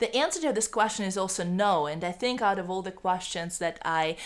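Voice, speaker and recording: A woman with a Russian accent. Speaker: YouTuber on bilingualism. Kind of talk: educational vlog. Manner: halting, many fillers.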